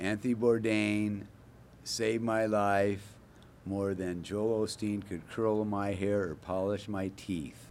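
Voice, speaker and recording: A man talks at a very slow pace, his pitch fairly low. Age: 60s. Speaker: museum co-founder. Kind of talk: interview. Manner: animated.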